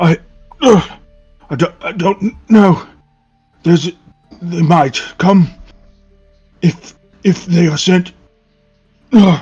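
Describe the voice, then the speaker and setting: A man does a raspy, put-on character voice, high-pitched for a man, at a very slow pace with long, frequent pauses. Faint music plays in the background. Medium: actual play. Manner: halting, hesitant.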